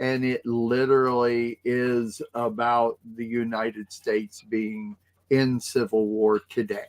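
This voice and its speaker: Recorded with a dry, close sound and no echo, a man talks at a very slow pace. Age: 60s. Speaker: talk show co-host. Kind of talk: casual chat. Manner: halting.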